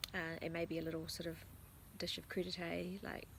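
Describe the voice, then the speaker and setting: A woman whispers in an American accent. Her pace is moderate. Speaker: lifestyle author and vlogger. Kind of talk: casual talk to camera.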